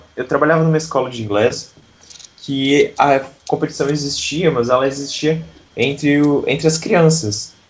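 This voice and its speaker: This is a man with an unremarkable speaking voice. His pitch is fairly high and his pace moderate. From southern Brazil, Santa Catarina. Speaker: English teacher and YouTuber. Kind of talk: interview.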